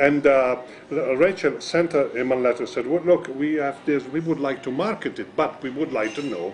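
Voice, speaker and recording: Fairly high-pitched male speech at a moderate pace, ordinary pitch variation, and noticeable background noise. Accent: Italian. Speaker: magician. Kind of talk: interview. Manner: halting.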